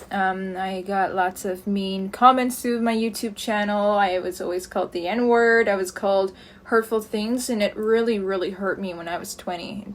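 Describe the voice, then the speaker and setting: Her voice sits at a medium pitch with fairly even intonation. The woman keeps a moderate pace with hardly any pauses. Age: 20s. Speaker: streamer and vlogger. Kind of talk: personal testimony. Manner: halting.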